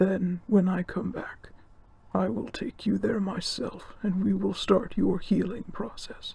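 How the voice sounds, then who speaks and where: Using a put-on character voice, a man talks fairly slowly at a high pitch. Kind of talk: audio roleplay. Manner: calm, reassuring.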